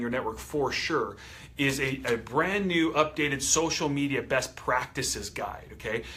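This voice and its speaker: A man with a fairly high voice and ordinary pitch variation talks over noticeable background noise. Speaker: company trainer for coaches. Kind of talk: training presentation.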